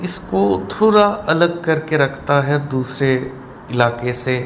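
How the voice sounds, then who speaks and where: Over noticeable background noise and audible room echo, a man speaks with lively intonation. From Kolkata, India. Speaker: travel vlogger. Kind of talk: travel vlog narration. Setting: on a river boat, outdoors. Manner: casual, with hesitations.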